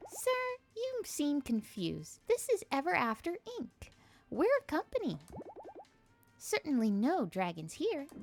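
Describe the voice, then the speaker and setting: Using a put-on character voice pitched high, a woman talks at a moderate pace with long, frequent pauses while music plays in the background. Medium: game stream. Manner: cheerful, polite customer-service tone.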